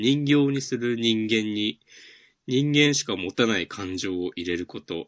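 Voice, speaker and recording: At a fairly slow pace, a man with an unremarkable speaking voice talks at a medium pitch with ordinary pitch variation, the sound dry and close with no echo over a quiet background. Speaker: manga podcast co-host. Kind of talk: casual chat.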